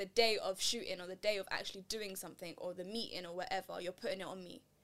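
Delivered at a very fast pace with an London accent, the speech keeps fairly even intonation. Its loudness swings widely. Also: woman. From East London. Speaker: podcast host. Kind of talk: casual chat.

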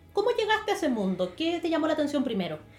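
A woman with lively intonation against noticeable background noise. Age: 30s. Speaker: podcast co-host, beauty influencer. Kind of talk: casual chat.

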